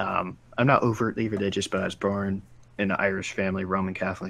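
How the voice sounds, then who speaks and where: Recorded very cleanly against a silent background, a man with an American accent speaks at a fairly quick pace, with a fairly low pitch and fairly even intonation. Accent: slight Baltimore accent at times. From US, Baltimore. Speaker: live stream co-host. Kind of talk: casual chat.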